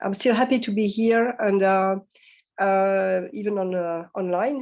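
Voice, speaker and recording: A woman with a French accent and a medium pitch. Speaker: philosophy professor. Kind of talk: academic lecture. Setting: video call to conference. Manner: hesitant, many fillers; slow.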